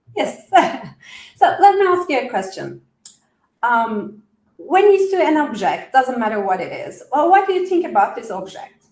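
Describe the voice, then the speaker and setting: A woman's high voice with a non-native accent, very wide pitch swings and big swings in loudness at a moderate pace, broken by long, frequent pauses. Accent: noticeable foreign. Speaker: coach explaining a wellness methodology. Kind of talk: live interview. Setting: live stream with chat.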